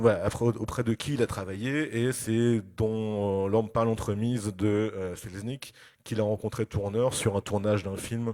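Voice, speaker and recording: Male speech pitched fairly low, its tone dark and mellow, the intonation fairly even. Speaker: film critic and lecturer. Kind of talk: lecture. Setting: festival conference with audience. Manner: hesitant, many fillers.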